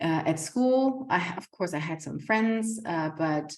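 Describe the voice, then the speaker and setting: Using ordinary pitch variation, a woman with a German accent speaks at a fairly slow pace. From Germany. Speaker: community centre founder, home-educating mother. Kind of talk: casual vlog talk. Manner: halting, many fillers and repetitions.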